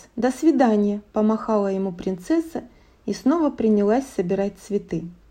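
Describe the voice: Here someone gives a plain reading aloud.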